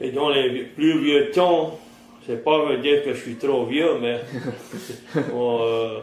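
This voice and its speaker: Over noticeable background noise, a man speaks at a fairly high pitch with ordinary pitch variation. His pace is very slow, with long, frequent pauses. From Terrebonne Parish, Louisiana. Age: 50s. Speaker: fisherman and trapper. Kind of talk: interview answer.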